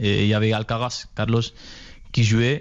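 Against a quiet background, a man with a Spanish accent speaks at a fairly low pitch in a monotone, flat way. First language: Spanish (speaking French). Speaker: professional footballer. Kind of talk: interview.

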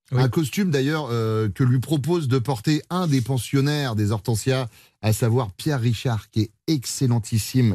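Against a quiet background, a man speaks fairly slowly at medium pitch, his dark, mellow tone somewhat breathy and very even in loudness. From France, Vendée. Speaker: radio host. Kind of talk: casual chat. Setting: studio.

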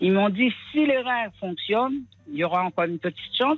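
With music in the background, a woman speaks at a moderate pace. Her pitch is medium and her intonation lively. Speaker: caller. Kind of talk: casual chat. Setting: phone call.

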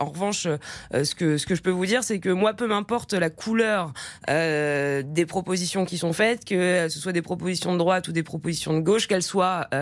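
Her pitch medium with ordinary variation, a woman talks in an ordinary speaking voice. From France, Poitou-Charentes (Poitiers area). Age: young. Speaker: party spokesperson. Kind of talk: radio call-in Q&A with listeners. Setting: radio studio.

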